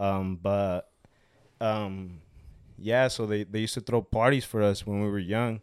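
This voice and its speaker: Speaking in a Spanish accent, a man with a fairly low pitch and fairly even intonation goes at a fairly slow pace with long, frequent pauses. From Mexico. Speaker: small business owner selling aguas frescas. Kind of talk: casual interview. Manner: halting, repeats words often.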